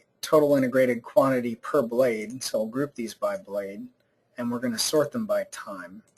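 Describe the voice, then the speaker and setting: Ordinary pitch variation runs through a man's medium-pitched speech. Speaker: software presenter. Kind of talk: webinar software demonstration. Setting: online webinar. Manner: fast.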